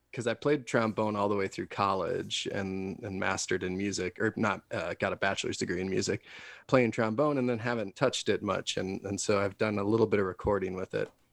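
In a plain, everyday voice, a man with an American accent talks at a fairly quick pace with hardly any pauses, his fairly low pitch held to fairly even intonation. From Wisconsin. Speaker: singer-songwriter. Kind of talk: interview. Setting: video call.

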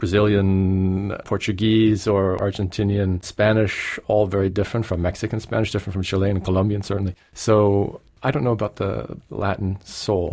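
A man speaks at a fairly low pitch in a plain, everyday voice. His intonation is fairly even and his pace moderate. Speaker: pianist and music professor. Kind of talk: interview.

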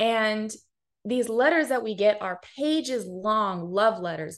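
With lively intonation, a woman talks at a medium pitch in an unremarkable speaking voice. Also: quiet background. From US West Coast, Pasadena, Los Angeles County. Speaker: nonprofit founder and director. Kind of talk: interview. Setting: video call.

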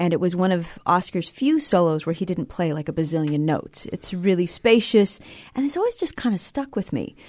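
Against a quiet background, a woman talks with an American accent in an unremarkable speaking voice. Her medium-pitched delivery is fairly quick, with lively intonation. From Montana. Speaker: jazz bassist and vocalist. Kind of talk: casual chat. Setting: studio.

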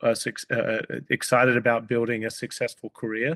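A man with an Australian accent talks at a fairly quick pace and medium pitch with monotone, flat intonation, the sound dry and close with no echo. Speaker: company CEO. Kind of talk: interview. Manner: halting, many fillers.

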